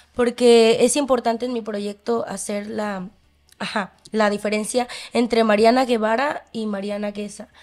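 Fairly high-pitched woman's voice, flat and monotone, at a fairly slow pace against a quiet background. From Mexico. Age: 20s. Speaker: singer. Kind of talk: casual interview. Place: studio. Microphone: studio mic.

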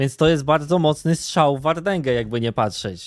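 A man speaks in a plain, everyday voice. His pitch is fairly high, with ordinary pitch variation. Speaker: streamer commenting on internet drama. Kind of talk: casual reaction commentary. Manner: casual, filler-heavy.

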